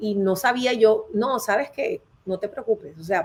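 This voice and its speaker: Her voice is an ordinary speaking voice, fairly high for a woman, with ordinary pitch variation. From Colombia. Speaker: HR consultant and career advisor. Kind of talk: live interview.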